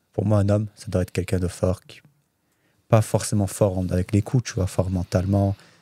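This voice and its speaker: On a very clean recording with a silent background and a dry, close sound free of echo, a man speaks fairly quickly in a fairly low, somewhat breathy voice with a dark, mellow tone, flat monotone intonation and big swings in loudness. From France, Saint-Étienne, Chechen family. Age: 20s. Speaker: MMA fighter. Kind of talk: casual podcast interview.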